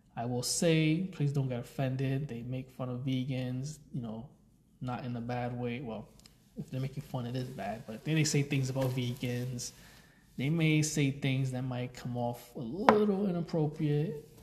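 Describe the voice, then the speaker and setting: The man's voice is medium in pitch and somewhat breathy. He talks at a moderate pace, and his pitch varies in an ordinary way. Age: 30s. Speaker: podcast host. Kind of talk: casual monologue. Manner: rambling filler-heavy speech.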